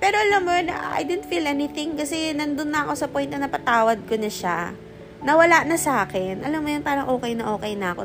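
Over noticeable background noise, a woman talks fairly quickly in a high pitch, her voice making very wide pitch swings. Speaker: podcast host. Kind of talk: casual chat. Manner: halting; spontaneous, unscripted.

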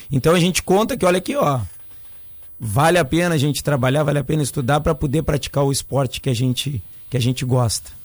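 A man talks at a very fast pace with ordinary pitch variation. His voice is fairly high and somewhat breathy. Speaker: surf school instructor. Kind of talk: radio interview.

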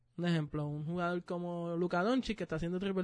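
Delivered at a very fast pace with ordinary pitch variation, the speech plays over a quiet background. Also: man. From Puerto Rico. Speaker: podcast co-host. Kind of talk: casual chat.

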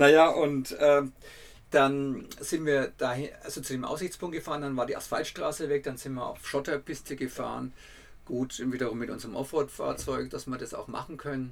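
In a Franconian accent, a man speaks at a moderate pace and fairly high pitch with fairly even intonation. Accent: Franconian dialect, rolled R and soft D. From Franconia, Germany. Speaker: travel writer and podcaster. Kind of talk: casual travel storytelling.

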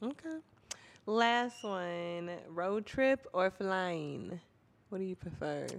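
With an American accent, a woman speaks very slowly in a medium pitch and with lively intonation. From Minnesota. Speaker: interviewer. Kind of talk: casual interview.

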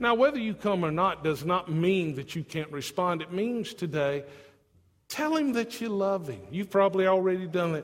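A man speaks in a high pitch with lively intonation. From not from Tennessee. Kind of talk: sermon.

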